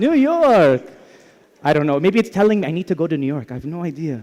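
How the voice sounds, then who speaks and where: A man with an Arabic accent speaks loudly at a fairly high pitch, his voice taking very wide pitch swings. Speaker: tech company product presenter. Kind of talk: live product demo presentation. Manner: casual, conversational.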